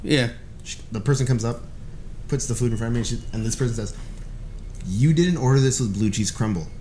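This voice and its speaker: A man with an American accent speaks at a very fast pace with long, frequent pauses, at medium pitch with ordinary pitch variation. His tone is dark, mellow and somewhat breathy, with audible room echo. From Los Angeles (Boyle Heights, East LA). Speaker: stand-up comedian and self-described psychic. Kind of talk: casual chat.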